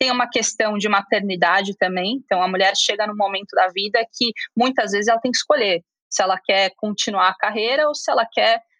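A woman talks at a fairly quick pace with a bright, sharp tone and a fairly high pitch. Her pitch variation is ordinary, and the sound is dry and close with no echo. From Brazil, Curitiba. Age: 20s. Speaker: venture capital investor. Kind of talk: interview.

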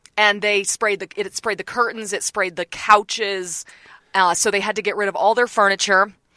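Her intonation stays monotone and flat. A woman speaks at a medium pitch and a moderate pace. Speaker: TV reporter. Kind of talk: casual chat.

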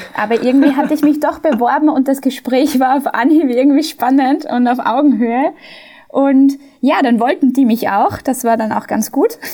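A woman speaks at a moderate pace in a high voice with a dark, mellow tone and ordinary pitch variation. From Austria. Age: 30s. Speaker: management consultant. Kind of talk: interview.

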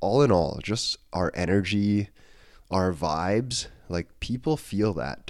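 A man's lively intonation comes through on a very clean recording against a silent background. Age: 20s. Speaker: podcast host and personal trainer. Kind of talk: solo podcast monologue. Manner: casual, with frequent fillers and restarts.

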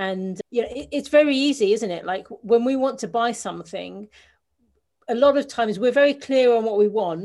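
Over a quiet background, a woman speaks at a fairly high pitch in a London accent. Her pitch varies in an ordinary way. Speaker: business coach and author. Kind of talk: interview.

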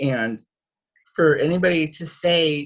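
A man's somewhat breathy voice. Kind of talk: panel discussion. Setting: video call. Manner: halting, many fillers.

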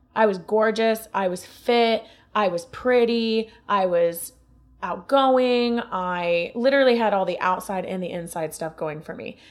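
A woman with an Ohio accent, fairly high in pitch, at a fairly slow pace with ordinary pitch variation, music in the background. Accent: Northern US (Ohio). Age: 20s. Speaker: podcast guest. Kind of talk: casual chat.

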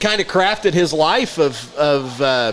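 A man's voice with crowd noise behind it. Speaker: podcast co-host and teacher. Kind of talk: casual banter.

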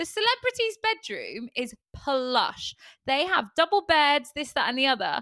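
A bright, sharp voice, raised and projected, moves at a fairly slow pace with very wide pitch swings in a dry, close recording with no echo. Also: woman, high pitch for a woman. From Torquay, Devon, England. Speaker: podcast co-host. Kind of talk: casual comedic chat.

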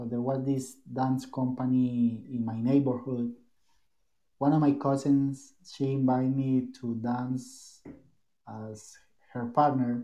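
At a very slow pace, a man with a Spanish accent speaks in a dark, mellow, medium-pitched voice with monotone, flat intonation. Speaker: tango dancer. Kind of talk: casual chat.

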